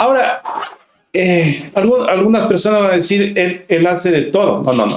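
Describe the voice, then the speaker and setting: A man's high voice with lively intonation at a fairly slow pace. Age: 50s. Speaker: singer-songwriter and writer. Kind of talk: casual interview chat.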